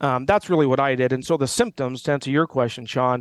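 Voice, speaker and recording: A man speaks in a normal speaking voice, fairly high, with ordinary pitch variation. The recording is very clean and silent behind him, with a dry, close sound and no echo. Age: 50s. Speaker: business coach and author. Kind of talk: interview.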